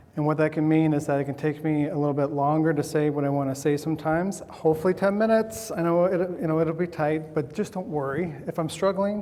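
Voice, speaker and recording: There is noticeable background noise as a man talks at a very fast pace with hardly any pauses. His pitch is fairly high, with ordinary variation. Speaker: scientist speaking at a conference. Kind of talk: conference talk. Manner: halting, with repetitions.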